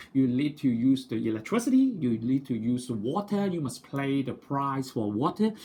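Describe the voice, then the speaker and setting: Lively intonation at a moderate pace from a man, his voice somewhat breathy and medium-pitched. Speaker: maths teacher. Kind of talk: tutorial.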